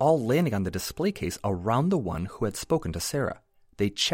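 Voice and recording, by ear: A passage is being read aloud in a natural voice.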